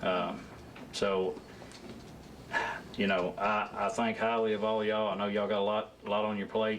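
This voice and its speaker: In a Southern US accent, the speaker uses flat, monotone intonation at very even loudness, with long, frequent pauses. Noticeable background noise and audible room echo fill the recording. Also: man, fairly low pitch for a man, moderate pace. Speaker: job candidate at council interview. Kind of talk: job interview. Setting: council meeting room with audience. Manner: soft-spoken; halting.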